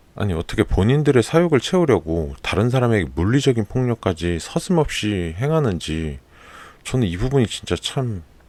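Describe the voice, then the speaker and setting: Here a man speaks with a calm tone at a moderate pace, using very wide pitch swings. The recording is very clean, with a silent background. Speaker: Korean listening content host. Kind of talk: casual personal commentary.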